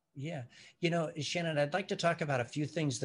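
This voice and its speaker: On a very clean recording with a silent background, a man talks in a somewhat breathy voice. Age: 60s. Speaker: retired company CEO. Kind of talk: interview. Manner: halting.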